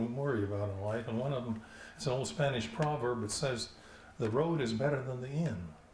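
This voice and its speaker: A man speaks at a fairly quick pace over noticeable background noise. His medium pitch shows ordinary variation. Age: 80s+. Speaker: animation director. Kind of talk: award acceptance speech. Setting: outdoors. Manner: improvised, humorous.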